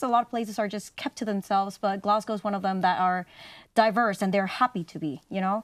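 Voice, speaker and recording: A woman's medium-pitched voice with a Spanish accent at a very fast pace, dry and close with no echo, in a very clean recording with a silent background. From Mexico. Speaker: university student. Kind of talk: interview.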